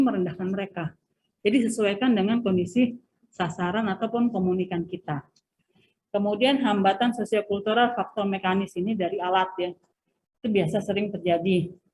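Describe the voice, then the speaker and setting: A woman speaks at a fairly quick pace in a medium pitch, her dark, mellow tone somewhat breathy and her pitch varying in an ordinary way. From Sundanese region, West Java, Indonesia. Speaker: university lecturer. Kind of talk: lecture. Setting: video call lecture. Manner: hesitant, many filler sounds.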